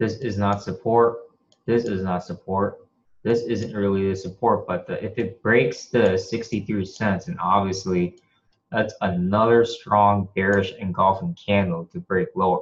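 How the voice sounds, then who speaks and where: A man speaks at a fairly low pitch, sounding somewhat breathy. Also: ordinary pitch variation, fairly slow pace. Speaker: forex trader. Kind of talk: tutorial. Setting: screen share recording at home.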